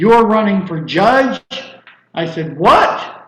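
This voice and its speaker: A high-pitched man's voice with ordinary pitch variation and audible room echo. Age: 60s. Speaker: criminal defense lawyer and judicial candidate. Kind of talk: interview.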